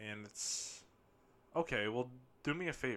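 Here a man speaks at a medium pitch with a bright, sharp tone. The recording is very clean, with a silent background. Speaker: podcaster. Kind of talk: casual podcast monologue. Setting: home basement.

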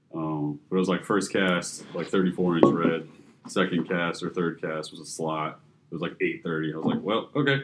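Amid noticeable background noise, a man with an American accent and a very deep, low voice speaks at a moderate pace with ordinary pitch variation. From Fort Lauderdale, Florida. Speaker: fishing media company co-founder. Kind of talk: casual chat.

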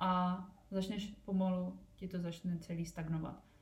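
A woman's somewhat breathy voice has a dark, mellow tone and medium pitch, with audible room echo around it. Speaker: podcast host and entrepreneur. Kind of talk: casual solo podcast talk. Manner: fast.

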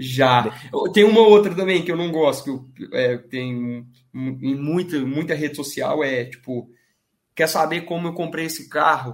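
This is a plain, everyday voice, a man's, pitched fairly high. He goes at a fairly slow pace with ordinary pitch variation. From Minas Gerais, Brazil (Divinópolis, near Belo Horizonte). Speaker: sports betting trader. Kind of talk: podcast interview.

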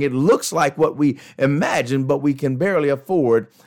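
A man with a fairly high pitch speaks in an animated tone with ordinary pitch variation. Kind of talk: pep talk. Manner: animated, emphatic, direct-address motivational delivery; rhetorical, repetitive, punchy.

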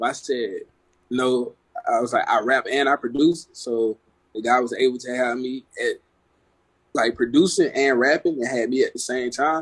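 Medium in pitch, a man talks at a moderate pace with fairly even intonation and long, frequent pauses. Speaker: musician. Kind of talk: casual chat. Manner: casual.

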